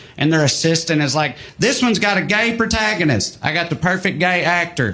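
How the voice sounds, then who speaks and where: Against noticeable background noise, a man with a Southern US accent speaks at a high pitch. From US South. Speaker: stand-up comedian. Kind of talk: stand-up.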